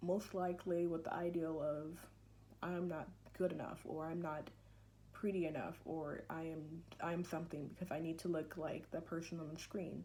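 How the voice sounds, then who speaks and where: In a room with audible echo, a woman speaks at a moderate pace with a fairly low pitch and a dark, mellow tone, her intonation monotone and flat. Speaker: student giving class speech. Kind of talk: persuasive speech. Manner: halting.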